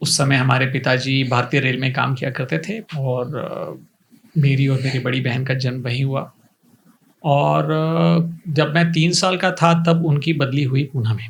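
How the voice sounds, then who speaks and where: Lively intonation comes with a somewhat breathy voice. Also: man, medium pitch for a man. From India, Pune. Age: 50s. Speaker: coaching institute founder. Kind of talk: interview.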